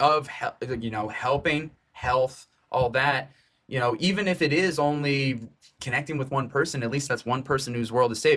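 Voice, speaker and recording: Speaking at a moderate pace, a man uses a normal speaking voice with a fairly high pitch and ordinary pitch variation. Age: 20s. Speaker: podcast producer. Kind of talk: casual chat.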